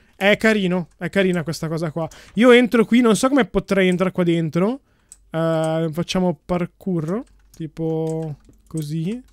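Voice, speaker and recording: A man with a high pitch speaks with ordinary pitch variation and long, frequent pauses. The sound is dry with no echo, and the background is quiet. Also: fairly slow pace. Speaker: gaming youtuber. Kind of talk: casual gameplay commentary.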